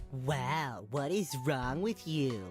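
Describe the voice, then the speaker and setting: Over clear music in the background, a put-on character voice comes through nasal and at a low-to-middle pitch. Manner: mocking, parroting.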